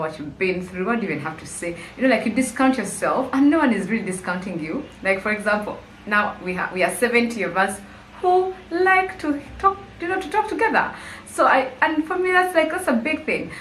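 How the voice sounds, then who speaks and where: Fairly quick speech from a woman at a fairly high pitch with very wide pitch swings, with audible room echo and noticeable background noise. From Uganda, Kampala. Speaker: YouTuber. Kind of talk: casual vlog monologue. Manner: conversational, hesitant with fillers.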